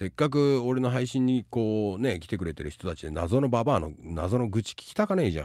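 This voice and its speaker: A man with a fairly low pitch speaks with very wide pitch swings and big swings in loudness. The sound is dry with no echo and the background is quiet. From Tokyo, Japan. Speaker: live streamer and advice giver; live streamer. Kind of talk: casual livestream chat. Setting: live stream with chat. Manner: rapid run-on speech. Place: home room. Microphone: studio mic.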